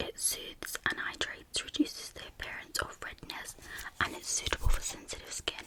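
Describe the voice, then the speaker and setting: Over noticeable background noise, a woman is whispering at a moderate pace. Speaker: ASMR YouTuber. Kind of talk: casual talk to camera, ASMR collection video. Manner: casual, rambling, friendly.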